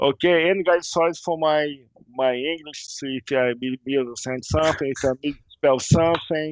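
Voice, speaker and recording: A man with a Portuguese accent speaks at a moderate pace and a fairly high pitch. The sound is dry and close, with no echo. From Brazil, Rio de Janeiro. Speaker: game modder. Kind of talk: casual interview. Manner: halting, repeating words.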